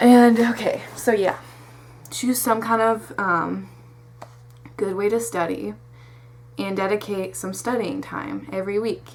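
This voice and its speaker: There is noticeable background noise as a woman speaks at a fairly slow pace. She leaves long, frequent pauses. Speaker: vlogger giving test tips. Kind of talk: casual talking-head advice vlog. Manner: stutters when off track; rambling, informal, animated.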